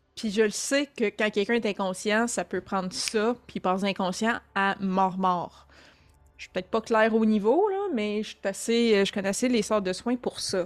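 The speech moves at a fairly slow pace. Its intonation is fairly even. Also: woman, fairly high pitch for a woman. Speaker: tabletop role-playing game player. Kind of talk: casual chat. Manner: halting.

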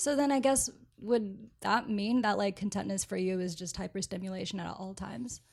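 With an American accent, a woman speaks at a fairly quick pace, somewhat breathy, her intonation lively. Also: medium pitch for a woman. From Florida (Orlando). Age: 20s. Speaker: media producer. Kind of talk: casual chat.

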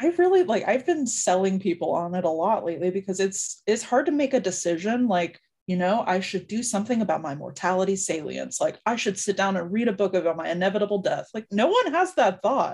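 A woman with an ordinary speaking voice, medium pitch and ordinary pitch variation talks at a fairly quick pace with hardly any pauses. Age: 30s. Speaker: nonprofit communications manager. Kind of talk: interview.

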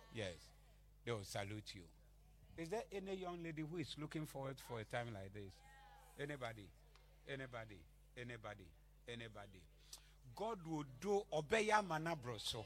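A man speaks at a moderate pace in a medium pitch, with very wide pitch swings. His pauses are long and frequent. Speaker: pastor. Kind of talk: fiery prophetic sermon declaring blessings over the congregation. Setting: church convention with live congregation. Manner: loud, emphatic preaching building to crescendos.

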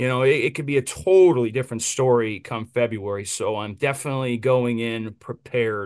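With an American accent, a man speaks fairly quickly in a normal speaking voice of medium pitch and ordinary pitch variation, over a quiet background. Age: 30s. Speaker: pro wrestler. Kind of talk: casual interview.

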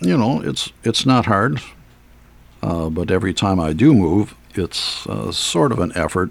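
At a fairly slow pace, a man talks with a very deep, low pitch. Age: 70s. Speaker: solo podcaster. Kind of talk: casual monologue. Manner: halting, many filler words.

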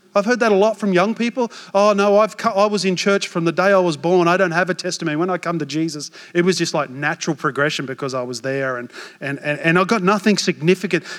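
A man with an Australian accent, high-pitched and very fast. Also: ordinary pitch variation. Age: 40s. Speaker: pastor. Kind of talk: sermon. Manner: animated.

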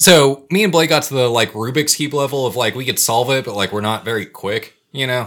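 A man with an American accent has an unremarkable speaking voice at medium pitch, with ordinary pitch variation and hardly any pauses. The recording is very clean, with a silent background. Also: fairly quick pace. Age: 30s. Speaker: podcast co-host. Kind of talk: casual chat.

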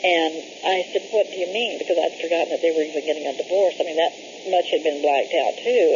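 A woman speaks at a fairly quick pace. Noticeable background noise is present. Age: 60s. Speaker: caller reporting a UFO sighting. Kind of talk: phone call report. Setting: phone call.

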